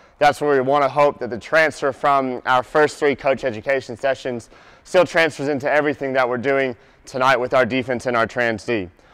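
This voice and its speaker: Against a quiet background, a man speaks at a fairly quick pace with fairly even intonation. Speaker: basketball coach presenter. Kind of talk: lecture. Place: hall.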